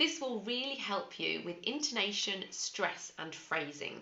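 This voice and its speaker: A woman with a British accent speaks fairly slowly, her pitch swinging very widely. Background noise is noticeable. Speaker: English pronunciation teacher. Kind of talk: teaching talk to camera.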